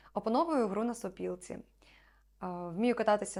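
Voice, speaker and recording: In a very clean recording with a silent background, a woman speaks at a fairly high pitch with lively intonation. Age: 20s. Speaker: actress. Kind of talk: self-presentation video.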